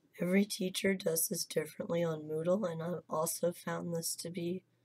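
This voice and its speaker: A somewhat breathy voice at a moderate pace, with fairly even intonation. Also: woman. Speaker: college student. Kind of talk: screen-recorded software tutorial.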